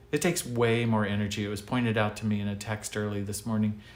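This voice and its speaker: This is a man with an ordinary speaking voice. His pitch is fairly low. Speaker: pastor. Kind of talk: livestreamed devotional message. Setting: live online broadcast from his desk. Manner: casual, conversational.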